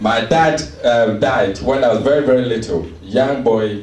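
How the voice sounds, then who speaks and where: Over noticeable background noise and audible room echo, a man speaks with a Ghanaian accent. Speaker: seminar speaker. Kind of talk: motivational sales seminar talk. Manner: animated.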